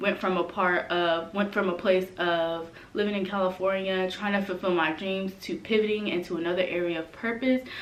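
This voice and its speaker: The speaker is a woman with a medium-pitched voice. She has a plain, everyday voice. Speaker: brand strategist and coach. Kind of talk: vlog tutorial.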